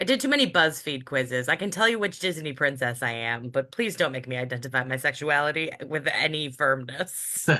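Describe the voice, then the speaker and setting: A woman speaks fairly quickly with hardly any pauses, in a very deep, low pitch. Her tone is bright and sharp, and her intonation lively. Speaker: poet. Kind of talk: casual chat. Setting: video call.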